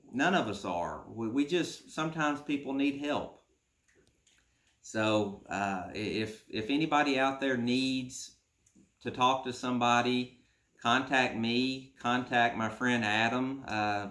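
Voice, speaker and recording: A man's medium-pitched voice with a bright, sharp tone, ordinary pitch variation and fairly slow pace, amid audible room echo. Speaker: YouTube host. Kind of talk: personal testimony. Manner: halting with many fillers.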